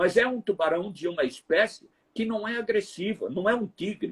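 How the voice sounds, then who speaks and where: A high-pitched man with a northeastern Brazilian accent at a fairly slow pace, dry and close with no echo. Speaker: TV reporter. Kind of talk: interview storytelling. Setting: live stream.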